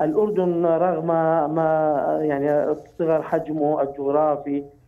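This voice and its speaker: A man with fairly even intonation. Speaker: political analyst. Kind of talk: interview answer. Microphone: phone line.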